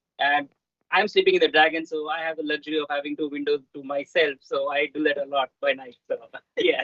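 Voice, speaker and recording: A man talks fairly quickly at a fairly high pitch, his intonation fairly even. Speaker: astronaut. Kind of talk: live interview from space station. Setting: space station video link. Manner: fast.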